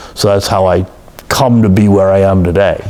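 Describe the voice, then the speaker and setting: With an American accent, a man speaks at a moderate pace in a very deep, low pitch and monotone, flat intonation, with noticeable background noise behind him. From Massachusetts, Boston suburbs. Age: 60s. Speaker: oral history interviewee. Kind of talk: oral history interview. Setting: office. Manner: hesitant, many fillers.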